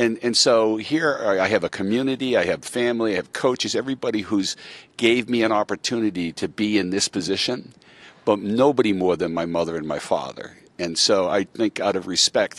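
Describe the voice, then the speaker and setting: In a dry sound with no echo, a man talks at a fairly quick pace in a fairly low pitch with ordinary pitch variation. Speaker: guest. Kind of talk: interview answer. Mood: emotional, reflective. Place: stadium. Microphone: handheld.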